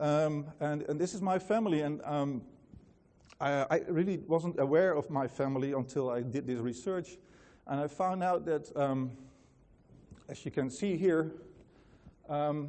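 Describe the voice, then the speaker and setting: With a Dutch accent, a man speaks at a fairly high pitch and a fairly slow pace, with ordinary pitch variation and long, frequent pauses. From Netherlands. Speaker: company founder, conference speaker. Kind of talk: conference talk. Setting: stage with audience. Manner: many fillers and hesitations.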